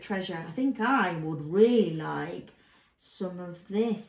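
This is an unforced reading voice. It carries the text along.

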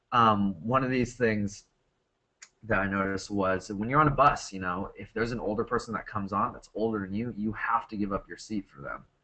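Talking at a fairly quick pace with an American accent, a man shows ordinary pitch variation and big swings in loudness. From United States. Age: 20s. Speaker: English teacher presenting a webinar. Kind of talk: webinar presentation and Q&A. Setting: online webinar. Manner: casual, with many fillers.

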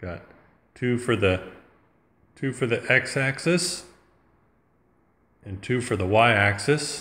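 Speaking at a very slow pace, a man has lively intonation and a bright, sharp tone. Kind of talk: tutorial. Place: home room. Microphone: phone near.

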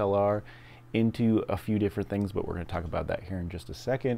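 Dark and mellow in tone, the man's voice sits at a fairly low pitch with ordinary pitch variation. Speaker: product reviewer. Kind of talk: tutorial. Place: home room. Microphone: phone near.

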